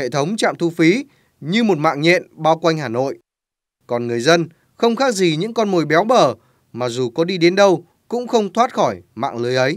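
A man with a high pitch and very wide pitch swings, at a moderate pace, on a very clean recording with a silent background. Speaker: news reporter. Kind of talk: scripted narration.

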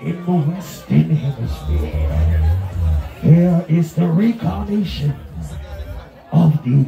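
A man's voice with some room echo audible and a little background noise. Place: stage. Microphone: pa.

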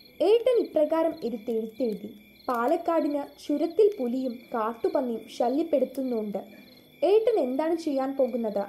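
A high female voice, dark and mellow in tone. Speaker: audiobook narrator reading a short story. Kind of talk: audiobook story narration.

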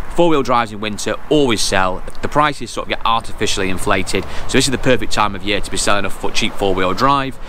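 Light background noise sits under a dry sound with no echo. A man speaks at a very fast pace with ordinary pitch variation. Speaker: car trader vlogger. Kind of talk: casual vlog chat. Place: street. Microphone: phone near.

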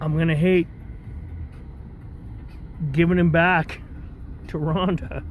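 A man at a very slow pace with fairly even intonation, light background noise and a dry sound with no echo. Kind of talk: casual vlog chat. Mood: relaxed, fond. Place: car. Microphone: phone near.

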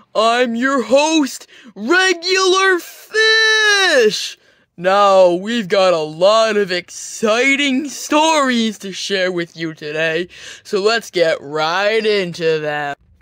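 A put-on character voice, fairly high in pitch, talks at a very slow pace. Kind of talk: kids' TV host parody. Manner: upbeat, cheesy host.

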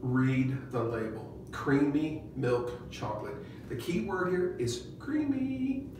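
Noticeable background noise accompanies a man who talks very slowly. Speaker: doctor. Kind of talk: casual Q&A advice talk. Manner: opinionated, animated, jokey.

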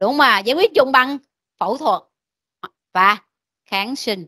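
A woman with a high, bright, sharp voice speaks at a very slow pace in a raised, projected voice. Her pitch swings very widely, and the background is quiet. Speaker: medical lecturer. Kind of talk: lecture. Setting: classroom. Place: classroom.

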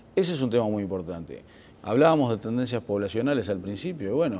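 A man's dark, mellow voice with lively intonation. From Uruguay. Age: 50s. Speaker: government official, accountant. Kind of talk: interview. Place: studio.

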